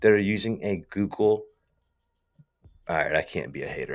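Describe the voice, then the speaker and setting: A man with a strong Southern US accent at a fairly quick pace. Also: very clean recording, silent background. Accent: strong Southern US accent, super country. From US South. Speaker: tech company founder and live streamer. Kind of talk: casual livestream talk. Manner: animated, slangy.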